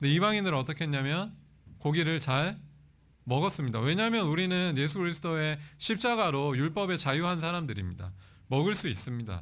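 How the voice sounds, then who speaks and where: Fairly high male voice, quick-ish pace, lively intonation, very even loudness, and audible room echo. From South Korea, Pohang (Gyeongsang). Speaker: guest preacher, seminary professor. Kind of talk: sermon. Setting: church.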